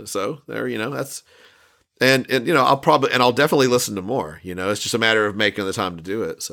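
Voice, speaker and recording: Lively in intonation, a man speaks at a very fast pace. Vocal fry runs through his voice. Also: medium pitch for a man, very clean recording, silent background. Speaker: podcast host. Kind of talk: casual chat.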